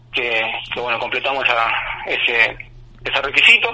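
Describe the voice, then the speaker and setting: Noticeable background noise lies beneath speech delivered at a fairly quick clip. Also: man. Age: 40s. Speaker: police chief. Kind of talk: radio interview. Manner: halting.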